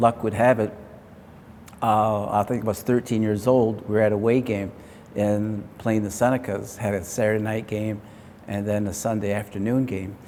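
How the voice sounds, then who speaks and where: A man with an American accent speaks at a moderate pace in a fairly low voice. His tone is dark and mellow, and his intonation is monotone and flat. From upstate New York, Onondaga Nation near Syracuse. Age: 60s. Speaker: retired lacrosse player. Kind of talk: interview.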